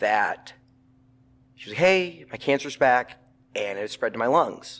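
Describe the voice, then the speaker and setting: A loud man's voice. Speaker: bereaved son sharing his story. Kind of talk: casual interview conversation. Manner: animated.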